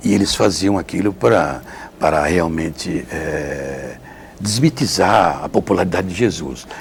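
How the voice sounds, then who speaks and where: Lively intonation comes through at a fairly slow pace, against noticeable background noise. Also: man, very deep, low pitch for a man. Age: 70s. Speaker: Franciscan friar, retreat preacher. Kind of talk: interview testimony. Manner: halting, self-correcting.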